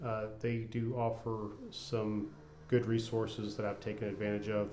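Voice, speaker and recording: Mumbling at a moderate pace, a man talks in a monotone, flat way at a fairly low pitch, with audible room echo and noticeable background noise. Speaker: cancer patient vlogger. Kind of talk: personal video diary. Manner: casual.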